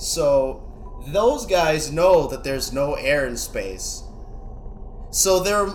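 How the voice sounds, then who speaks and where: A man is speaking. Background noise is noticeable. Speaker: podcast co-host. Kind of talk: casual banter, Q&A episode.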